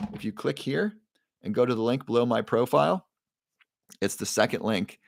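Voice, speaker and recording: A man's medium-pitched voice at a fairly quick pace, with lively intonation. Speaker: livestream host selling supplements. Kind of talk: live stream chat with viewers. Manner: fast.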